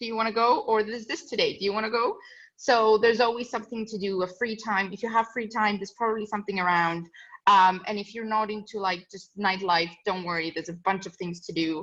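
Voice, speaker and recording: A woman at a fairly high pitch, very fast, with big swings in loudness, over a quiet background. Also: ordinary pitch variation. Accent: non-native. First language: not English. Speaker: student ambassador. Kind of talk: casual talk to prospective students. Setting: webinar video call.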